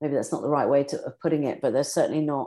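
Against a quiet background, a woman with a British accent speaks at a very deep, low pitch. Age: 50s. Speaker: beauty industry executive. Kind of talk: interview.

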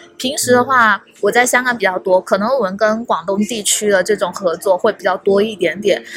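Fairly quick delivery with hardly any pauses, a slight Hong Kong accent and ordinary pitch variation, over music in the background. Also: woman, medium pitch for a woman. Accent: barely any Hong Kong accent in Mandarin. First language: Cantonese (speaking Chinese). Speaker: tech community organizer. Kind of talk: casual chat. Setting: hotel lobby.

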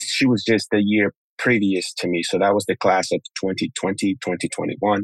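A man's fairly low voice carries fairly even intonation. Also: dry, close sound with no echo. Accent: Spanish. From Honduras. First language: Spanish. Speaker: tap dancer and dance educator. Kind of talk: interview conversation. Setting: video call.

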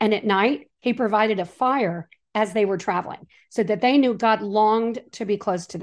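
The pace is moderate and the pitch varies in an ordinary way. It is an unremarkable speaking voice. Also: woman, fairly high pitch for a woman. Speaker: author and Bible teacher. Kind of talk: casual interview chat.

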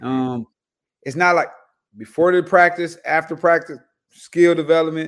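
A man with an American accent uses a plain, everyday voice at a moderate pace, with fairly even intonation. The recording is very clean, with a silent background. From Los Angeles, California. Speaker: basketball head coach. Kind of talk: casual chat.

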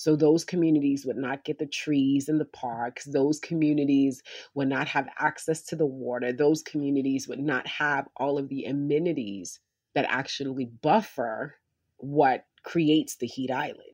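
In a quiet background, a woman with a New York accent talks at a moderate pace and a very deep, low pitch. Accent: New York City. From South Bronx, New York City. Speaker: physician and community organizer. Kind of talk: interview. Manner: animated.

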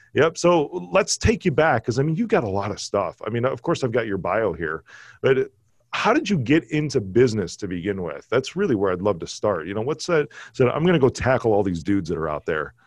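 The speaker talks fairly quickly with an American accent, vocal fry and very wide pitch swings. The sound is dry and close with no echo, over a quiet background. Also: man, medium pitch for a man. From Chicago, US Midwest. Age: 40s. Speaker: podcast host. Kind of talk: casual interview chat. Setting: video call. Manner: animated.

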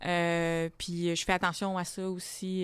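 The recording is very clean, and the background is silent. A woman's fairly low voice holds a monotone, flat intonation. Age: 20s. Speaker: comedian. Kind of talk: casual chat.

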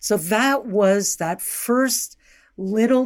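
A woman speaks at a very slow pace in a very clean recording with a silent background. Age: 70s. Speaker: dream analyst. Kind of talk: interview.

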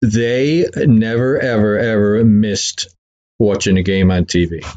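Speaking slowly in a Boston accent, a man uses a fairly low pitch, fairly even intonation and a slightly mellow tone. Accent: Boston-area New England.

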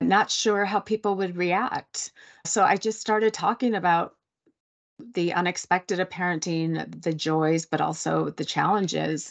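A woman's ordinary speaking voice, fairly low in pitch with ordinary pitch variation, at a fairly slow pace, dry and close with no echo, against a quiet background. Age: 40s. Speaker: writer and sober coach. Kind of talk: interview.

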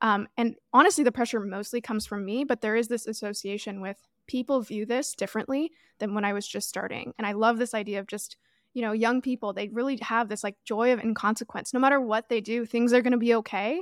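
A woman's fairly high voice at a very fast pace, fairly even in intonation, dry and close with no echo on a very clean recording with a silent background. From Toronto, Canada. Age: 20s. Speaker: podcast host and online creator.

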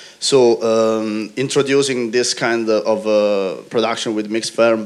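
A man speaks with an Italian accent and fairly even intonation. Noticeable background noise runs under his voice. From Italy. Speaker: brewer. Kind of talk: panel discussion.

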